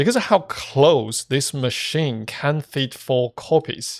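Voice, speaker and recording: A normal speaking voice from a man, medium in pitch with ordinary variation, fairly slow, with a dry, close sound and no echo. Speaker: gaming youtuber. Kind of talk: gameplay commentary.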